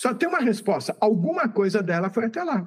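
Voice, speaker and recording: This man has a high-pitched voice. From Brazil, São Paulo state (Santos). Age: 60s. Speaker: physicist and YouTube channel host. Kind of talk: interview.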